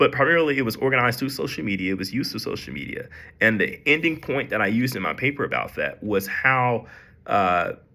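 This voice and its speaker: A man at medium pitch with vocal fry. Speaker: student. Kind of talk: class presentation. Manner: halting, with many fillers.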